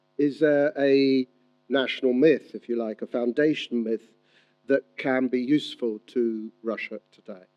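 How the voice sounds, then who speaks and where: Against music in the background, the voice shows big swings in loudness while keeping fairly even intonation. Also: man, medium pitch for a man. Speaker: historian giving a public talk. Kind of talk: lecture. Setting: stage with audience, hotel venue, simultaneous translation.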